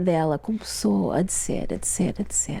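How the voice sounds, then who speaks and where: A woman talks at a fairly slow pace. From Portugal, raised in Ontario, Canada. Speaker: author and church women's ministry leader. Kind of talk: interview. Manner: halting.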